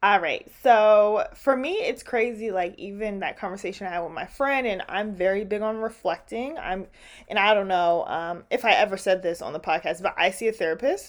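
A woman talks at a moderate pace and medium pitch with hardly any pauses and ordinary pitch variation, a normal speaking voice. The recording is very clean, with a silent background. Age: 20s. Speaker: podcast host. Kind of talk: casual monologue. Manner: casual with frequent fillers and laughter.

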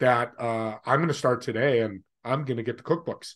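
Over a quiet background, a man talks at a moderate pace with ordinary pitch variation. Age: 60s. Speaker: podcast host. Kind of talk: interview.

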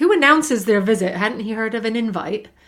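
The speaker has a British accent, captured in a very clean recording with a silent background. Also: woman. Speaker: podcast co-host. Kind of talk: casual chat. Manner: light-hearted, laughing.

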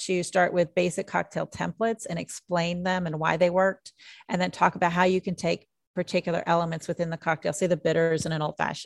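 A woman with an American accent and a normal speaking voice, fairly low in pitch, at a fairly quick pace with fairly even intonation, in dry, close sound with no echo over a quiet background. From southern Indiana. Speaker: mixologist and author. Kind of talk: interview.

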